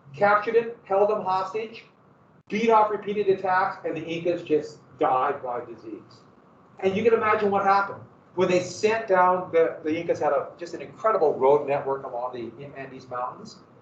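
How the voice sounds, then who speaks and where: In a room with audible echo, a man with an American accent talks at a moderate pace and high pitch, with lively intonation and big swings in loudness. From Montana, US. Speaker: history teacher. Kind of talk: lecture. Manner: casual, halting.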